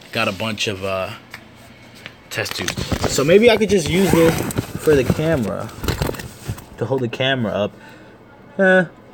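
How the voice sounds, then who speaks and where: Over noticeable background noise, a man with a fairly high pitch makes very wide pitch swings and leaves long, frequent pauses. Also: moderate pace. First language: Spanish. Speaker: streamer, ant keeper. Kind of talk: live stream chat. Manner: casual, slangy.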